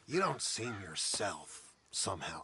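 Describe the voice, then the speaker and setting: A man puts on a growling character voice at medium pitch. He delivers it at a fairly slow pace. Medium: video game. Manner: halting, gentle.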